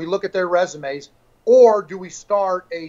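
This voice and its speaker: Here a man speaks with an American accent at a high pitch. His pace is moderate and his intonation fairly even. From US Midwest, St. Louis area; US Midwest. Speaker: fishing league owner; guest. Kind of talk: interview. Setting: live stream. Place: home room. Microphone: video call.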